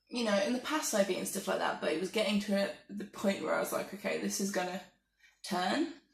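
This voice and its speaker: Soft-spoken, a woman with an English accent talks at a fairly quick pace. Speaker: vlogger. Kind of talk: casual monologue.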